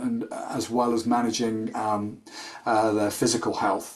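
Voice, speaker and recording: Over noticeable background noise, a man with a British accent speaks with fairly even intonation. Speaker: sports nutritionist. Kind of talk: webinar presentation. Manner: hesitant fillers.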